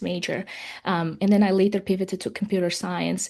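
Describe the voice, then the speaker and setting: In an Uzbek accent, a woman talks very fast in a flat, monotone way, with vocal fry. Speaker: software professional. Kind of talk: webinar panel talk. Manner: halting, many fillers.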